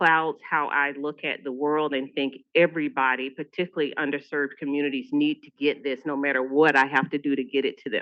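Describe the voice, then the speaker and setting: Speaking at a fairly quick pace with a Southern US accent, a woman with a very deep, low pitch keeps her intonation fairly even. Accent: Southern US (Georgia). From US South, Atlanta, Georgia. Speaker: public health nurse leader. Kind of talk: conference presentation.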